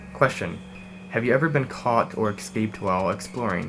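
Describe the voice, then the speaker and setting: A man speaks at a fairly low pitch with vocal fry. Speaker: urban exploration youtuber. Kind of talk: Q&A vlog. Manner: fast; hesitant, many fillers.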